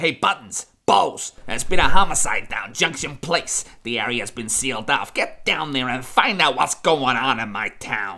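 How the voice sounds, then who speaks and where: In a put-on character voice, the speaker keeps a moderate pace at a low-to-middle pitch with hardly any pauses. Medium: comedy sketch. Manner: loud, brash.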